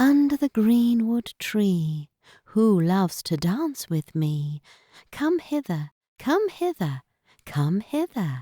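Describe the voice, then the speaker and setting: A put-on character voice, fairly high in pitch, moves at a very slow pace with very wide pitch swings. The recording is very clean, with a silent background. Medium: read story.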